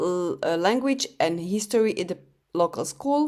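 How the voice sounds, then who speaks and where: Speaking with a non-native accent, a woman talks at a moderate pace and medium pitch with lively intonation. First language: not English. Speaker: true crime podcaster. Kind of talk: podcast narration. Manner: casual, chatty; occasional hesitations and self-corrections.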